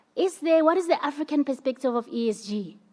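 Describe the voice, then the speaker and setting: Here a woman speaks at a fairly quick pace. Her intonation is lively. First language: not English. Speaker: conference panelist. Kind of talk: panel talk.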